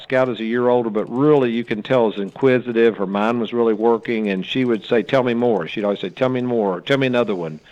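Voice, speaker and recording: A man speaking against a quiet background. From US South, Lexington, Kentucky. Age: 60s. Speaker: children's book author. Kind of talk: interview. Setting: live broadcast. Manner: hesitant with fillers.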